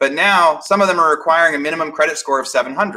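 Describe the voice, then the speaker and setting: Speaking at a very fast pace, a man uses fairly even intonation with a fairly high pitch and a bright, sharp tone. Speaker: real estate webinar presenter. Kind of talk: live webinar presentation. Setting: livestream.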